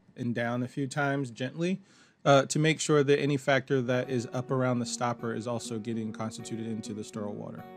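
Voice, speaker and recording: With music in the background, a calm man with an American accent talks at a moderate pace, medium pitch and ordinary pitch variation. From Maryland, USA. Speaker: fashion designer. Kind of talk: instructional walkthrough. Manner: casual, calm.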